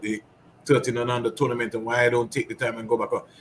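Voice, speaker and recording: The man's voice is somewhat breathy. His intonation stays fairly even. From St Kitts. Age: 60s. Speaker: cricket coach. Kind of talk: casual chat.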